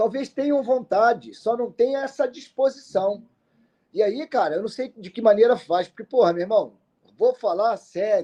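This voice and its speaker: At a moderate pace, a man with a dark, mellow tone speaks in an extremely high pitch, with ordinary pitch variation and big swings in loudness. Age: 60s. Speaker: football pundit. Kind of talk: casual chat. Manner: animated.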